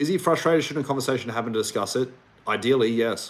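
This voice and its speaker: Ordinary pitch variation runs through a man's speech in an Australian accent. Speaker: relationship coach. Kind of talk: livestream Q&A. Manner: casual.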